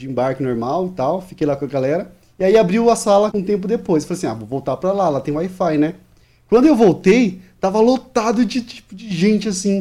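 A man's high-pitched voice, dark and mellow in tone, with lively intonation and a fairly quick pace. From Maranhão, northeastern Brazil. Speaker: podcast editor. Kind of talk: casual chat.

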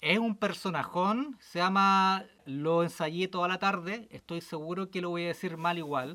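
A man with a high voice and a bright, sharp tone speaks at a fairly slow pace with hardly any pauses. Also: ordinary pitch variation. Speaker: podcast co-host. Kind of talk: casual chat.

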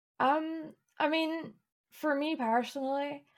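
A woman with a Scottish accent, speaking at a very slow pace. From east Scotland, near Edinburgh. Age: 20s. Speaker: streamer and illustrator, PhD student. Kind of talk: casual interview chat.

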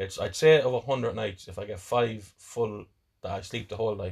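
Against a quiet background, a man talks at a medium pitch with ordinary pitch variation and a somewhat breathy quality. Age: 40s. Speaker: podcaster. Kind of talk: casual chat.

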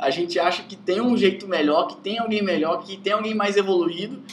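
Noticeable background noise sits under a man who speaks at a fairly quick pace. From Brazil, rural Espírito Santo. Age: 20s. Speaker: software developer. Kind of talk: casual interview.

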